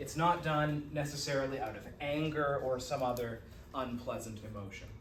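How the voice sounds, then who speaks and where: Audible room echo surrounds a man's voice at a medium pitch. His pace is moderate and his pitch variation ordinary. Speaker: college psychology instructor. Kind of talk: lecture. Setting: classroom with students.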